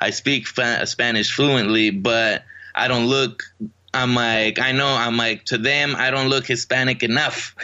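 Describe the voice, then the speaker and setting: The speaker has a normal speaking voice, moving at a fairly slow pace with fairly even intonation and very even loudness. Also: man, medium pitch for a man. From Riverside, California, born in Mexico. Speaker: Army veteran and actor. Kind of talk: casual interview.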